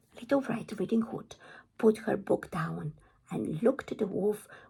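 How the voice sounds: The voice reads naturally, and its intonation is lively.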